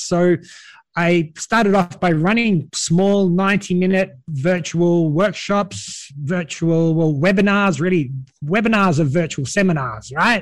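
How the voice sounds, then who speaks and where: Speaking with an Australian accent at a fairly slow pace, a man keeps a high pitch and very even loudness throughout. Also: ordinary pitch variation. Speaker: virtual events organizer. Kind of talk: podcast interview. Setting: remote call late at night.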